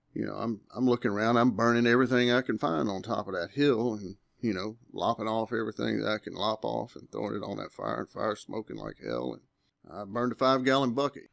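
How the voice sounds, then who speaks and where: In an Alabama accent, a man talks at a very fast pace, recorded with a dry, close sound and no echo. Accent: Southern US (Alabama). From US South, Alabama. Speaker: hunter telling encounter story. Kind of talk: interview storytelling. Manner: halting with repetitions.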